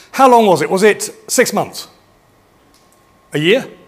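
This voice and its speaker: A man is speaking here. Background noise is noticeable throughout. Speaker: futurist keynote speaker. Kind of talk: conference talk. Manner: fast.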